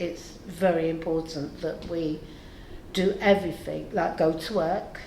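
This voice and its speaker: A woman talks in a room with audible echo. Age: 70s. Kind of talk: interview testimony.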